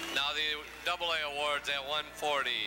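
Against noticeable background noise, a man speaks in a fairly high pitch. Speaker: award ceremony announcer. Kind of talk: reading out award placings at a ceremony. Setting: public address system in arena.

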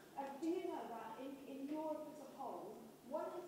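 A woman at a moderate pace amid strong room echo and noticeable background noise. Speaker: conference keynote speaker. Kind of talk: conference talk. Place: hall.

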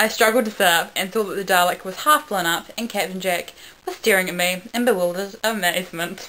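The passage is delivered as plain reading aloud, and its pitch varies by an ordinary amount.

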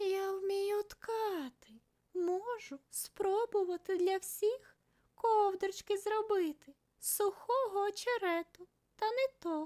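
In a put-on character voice, a woman talks at a fairly slow pace with an extremely high pitch. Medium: read story. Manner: quiet, shy.

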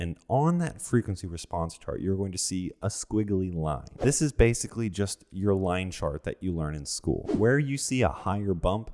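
A man with a low pitch and a slightly mellow tone talks at a moderate pace with few pauses and big pitch swings.

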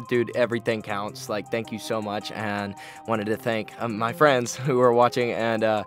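A man speaks at a moderate pace with ordinary pitch variation, his voice dry with no echo and clear music playing behind him. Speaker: vlogger. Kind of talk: casual vlog chat. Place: studio. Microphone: studio mic.

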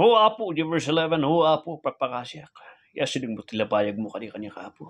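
A man's intense, fairly high voice at a fairly quick pace, with very wide pitch swings and big swings in loudness. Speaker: preacher. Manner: fervent, pleading, emotionally intense, with heartfelt petitions; earnest, rhythmic, repetitive invocations of 'Apo Diyos'. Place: home room. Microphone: phone near.

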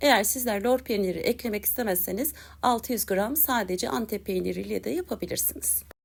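A woman speaks at a moderate pace with a fairly high pitch, a warm tone and some vocal fry. Her intonation is lively, and the recording is very clean with a silent background. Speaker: cooking youtuber. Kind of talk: cooking tutorial.

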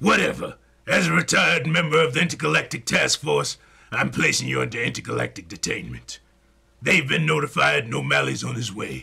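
Using a raspy, put-on character voice at a medium pitch, a man talks at a fairly quick pace. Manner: gruff, scolding, fatherly.

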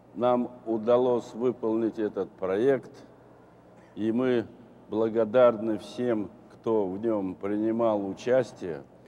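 A man speaks very slowly with a Russian accent, his dark, mellow tone carrying fairly even intonation over light background noise. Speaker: retired cosmonaut; guest. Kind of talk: panel discussion with interpreter. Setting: stage with audience. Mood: warm, reflective. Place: hall. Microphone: lapel.

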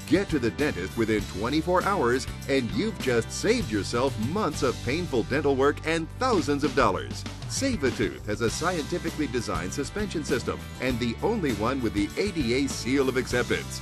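A man at a moderate pace with music in the background. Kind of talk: TV commercial read.

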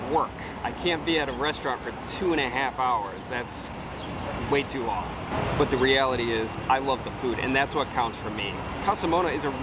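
A man talks with ordinary pitch variation over music in the background. The sound is dry, with no echo. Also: moderate pace. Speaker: food vlogger. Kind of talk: casual vlog review. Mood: mildly frustrated but positive. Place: street. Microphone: phone near.

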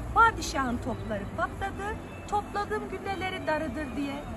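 A woman at a fairly slow pace, over loud background noise. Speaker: English teacher telling a folk tale. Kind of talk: storytelling. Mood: calm, warm. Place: waterside. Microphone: phone near.

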